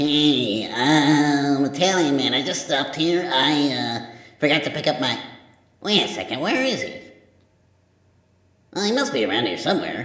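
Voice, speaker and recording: Using a put-on character voice, a man talks at a fairly high pitch and a moderate pace. Long, frequent pauses break it up, and there is a slight echo. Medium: machinima. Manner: sarcastic, flippant.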